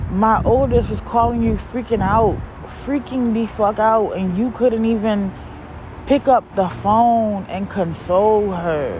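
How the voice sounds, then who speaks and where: Over noticeable background noise, an animated voice moves at a fairly slow pace with ordinary pitch variation. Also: woman, fairly high pitch for a woman. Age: 40s. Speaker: podcaster, single mother. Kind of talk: personal venting monologue. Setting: outdoors in a parking lot.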